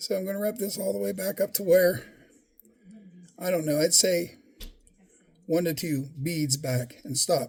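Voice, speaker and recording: Speaking at a moderate pace with lively intonation, a man with a high pitch leaves long, frequent pauses. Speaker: fly tying hobbyist YouTuber. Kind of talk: tutorial. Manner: halting, self-correcting; casual, conversational.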